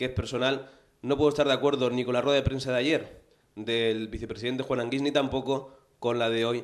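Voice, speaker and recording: Against a quiet background, a man speaks fairly quickly in a flat, monotone intonation. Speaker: show host. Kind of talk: presenter commentary. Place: studio. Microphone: handheld.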